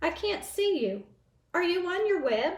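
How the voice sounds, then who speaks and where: A woman's put-on character voice, squeaky and extremely high-pitched, at a moderate pace. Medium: read story.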